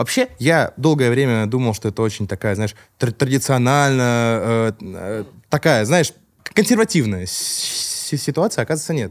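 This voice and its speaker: A man talks in a normal speaking voice at medium pitch. His intonation is lively and his pace moderate. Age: 20s. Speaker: rapper and confectionery business owner. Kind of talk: casual chat.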